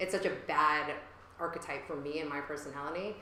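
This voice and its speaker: A woman with an American accent speaks at a very deep, low pitch with ordinary pitch variation amid noticeable background noise. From New York. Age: 30s. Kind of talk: interview answer. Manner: casual, many fillers.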